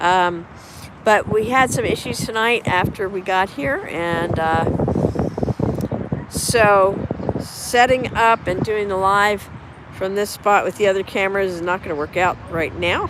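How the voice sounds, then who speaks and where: A woman talks at a very slow pace amid noticeable background noise. Her medium pitch rises and falls in an ordinary way. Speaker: live-stream plane spotting host. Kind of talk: live stream commentary. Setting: outdoors beside airport runways. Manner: loud after putting earplugs in.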